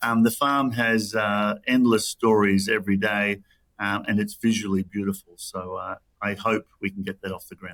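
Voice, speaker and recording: With an ordinary speaking voice, a man speaks at a moderate pace and fairly low pitch, keeping his intonation fairly even while his loudness swings widely. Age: 60s. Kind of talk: interview. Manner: many fillers and repeated words.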